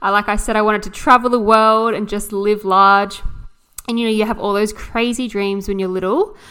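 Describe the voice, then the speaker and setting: A woman speaks with an Australian accent at a fairly quick pace, her pitch fairly high. Her tone is bright and sharp, and her intonation is monotone and flat. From Australia, New South Wales south coast. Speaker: podcast host, mindset coach. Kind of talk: personal monologue.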